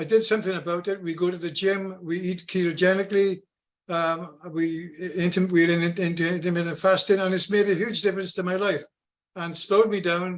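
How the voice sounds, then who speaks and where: At a fairly quick pace, a man with a high pitch speaks in a monotone, flat intonation. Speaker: product testimonial giver. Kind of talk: testimony.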